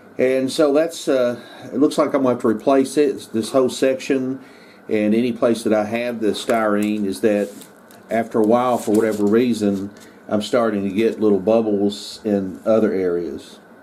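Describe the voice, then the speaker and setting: Here a man speaks at medium pitch. His pitch varies in an ordinary way. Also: moderate pace. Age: 60s. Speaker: model railroad hobbyist. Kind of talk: casual video tutorial. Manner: halting, many fillers.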